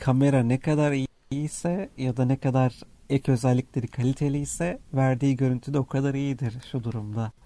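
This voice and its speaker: A man at medium pitch speaks with a dark, mellow tone and fairly even intonation, the sound dry and close with no echo on a very clean recording with a silent background. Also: moderate pace. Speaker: app developer and co-host. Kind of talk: casual chat.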